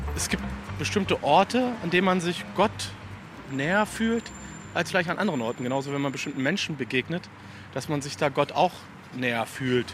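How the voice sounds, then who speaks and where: Over noticeable background noise, a man talks at a fairly quick pace with long, frequent pauses. His fairly high pitch makes very wide swings. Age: 40s. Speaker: doctoral student in Islamic theology. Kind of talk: interview.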